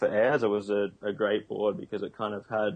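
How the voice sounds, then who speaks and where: A man with an Australian accent talks at a moderate pace. His pitch sits fairly low. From Australia, Noosa. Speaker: pro surfer and kite surfer. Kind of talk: interview.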